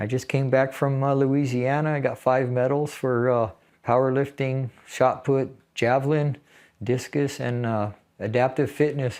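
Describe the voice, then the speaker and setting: At a fairly slow pace, a man with an American accent and medium pitch speaks in a monotone, flat intonation against a quiet background. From California. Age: 60s. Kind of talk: interview storytelling. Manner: halting.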